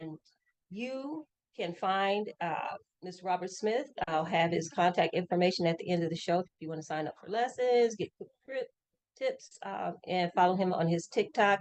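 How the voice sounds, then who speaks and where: A woman with an American accent speaks in a normal speaking voice at a medium pitch and moderate pace, with ordinary pitch variation and a dry, close sound with no echo. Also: big swings in loudness. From Grand Rapids, Michigan. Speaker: community show host. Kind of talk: casual interview. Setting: bowling alley.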